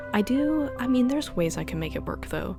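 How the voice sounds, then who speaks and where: Music runs behind the recording. A woman talks over it. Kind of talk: casual rambling sleep-aid podcast, talking to the listener. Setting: recorded at home, propped on a shoebox, holding the mic. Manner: rambling, hesitant, excitable, with filler words and restarts.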